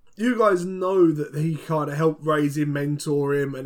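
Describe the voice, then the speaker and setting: A man's fairly high voice with ordinary pitch movement over noticeable background noise. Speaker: podcast co-host. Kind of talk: casual chat.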